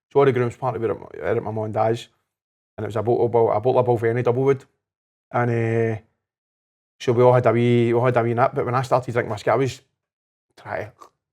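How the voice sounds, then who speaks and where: Against a quiet background, a man with a Glasgow accent and medium pitch talks at a very fast pace in a flat, monotone way, with long, frequent pauses. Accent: Scottish (Glasgow area). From Scotland. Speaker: life coach, podcast guest. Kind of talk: casual chat. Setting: whisky bar.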